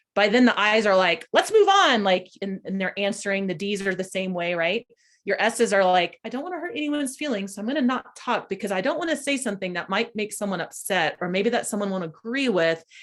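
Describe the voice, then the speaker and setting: Lively intonation from a woman at medium pitch, talking at a fairly quick pace with hardly any pauses. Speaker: workshop trainer. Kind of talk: lecture. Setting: video call. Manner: fast; animated.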